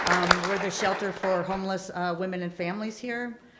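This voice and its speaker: A woman at a moderate pace, with audible room echo. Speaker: homeless shelter program manager. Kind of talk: public comment at a town hall.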